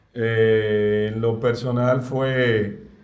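Audible room echo surrounds a man of medium pitch who speaks with ordinary pitch variation. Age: 40s. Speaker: cook. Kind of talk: casual chat.

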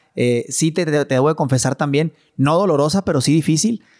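An unremarkable speaking voice moves at a fairly quick pace. The recording is very clean, with a silent background. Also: man, dry, close sound with no echo. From Mexico, Chihuahua. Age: 30s. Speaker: businessman. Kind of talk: casual chat. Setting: at home.

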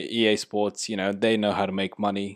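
Against a quiet background, a man talks at a moderate pace. His is an unremarkable speaking voice, fairly low in pitch. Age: 30s. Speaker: football podcaster. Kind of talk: casual solo podcast. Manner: casual, filler-heavy.

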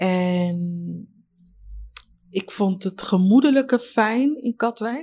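Her voice is fairly high in pitch, somewhat breathy, and dark and mellow in tone. The woman speaks at a very slow pace with long, frequent pauses. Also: lively intonation. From Leiden, Netherlands. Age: 30s. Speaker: community member, former care worker. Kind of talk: interview testimony.

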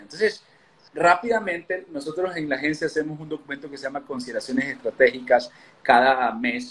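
Fairly high-pitched male speech at a fairly quick pace with very wide pitch swings. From Ecuador. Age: 30s. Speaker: political consultant. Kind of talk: interview.

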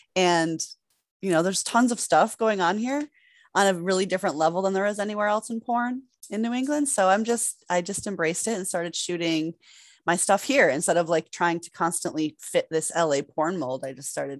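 A woman speaks at a moderate pace and medium pitch. Her voice moves in very wide pitch swings against a quiet background. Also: big swings in loudness. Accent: American. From Massachusetts. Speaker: adult performer and director. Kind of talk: casual interview.

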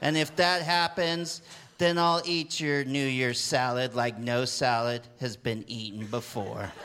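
A man's medium-pitched voice, with ordinary pitch variation, comes at a fairly slow pace through noticeable background noise. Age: 40s. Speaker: poet. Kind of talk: comic poetry reading. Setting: stage with audience.

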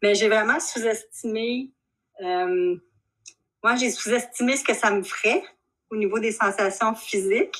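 A woman goes at a very slow pace, her medium-pitched voice showing ordinary pitch variation. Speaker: shibari practitioner. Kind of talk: interview. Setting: video call.

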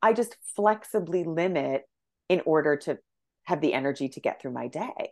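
Her loudness swinging widely, a woman speaks at a moderate pace in a very deep, low pitch with lively intonation. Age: 40s. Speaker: naturopathic doctor. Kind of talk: casual chat.

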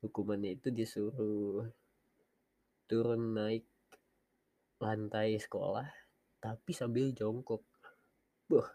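Pausing long and often, a man at medium pitch speaks at a very slow pace with fairly even intonation. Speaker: podcaster. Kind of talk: casual monologue. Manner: halting, many pauses. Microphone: headset mic, quiet.

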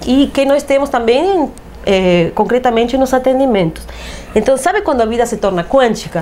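Against noticeable background noise, a woman speaks at a high pitch and a moderate pace with lively intonation and very even loudness. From Uruguay. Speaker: holistic therapist. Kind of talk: interview.

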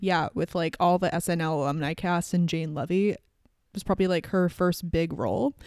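A woman with a slight Canadian accent talks at a fairly quick pace in a fairly low voice with ordinary pitch variation, recorded very cleanly against a silent background. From Canada. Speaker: podcast host. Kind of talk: casual chat.

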